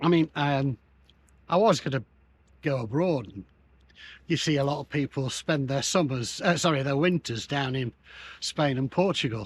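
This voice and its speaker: A man with an English accent speaks at a moderate pace and fairly high pitch, somewhat breathy, with ordinary pitch variation and long, frequent pauses, in a dry, close sound with no echo on a very clean recording with a silent background. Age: 70s. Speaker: retired van-dwelling nomad. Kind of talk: casual interview chat. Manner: halting, repeats words.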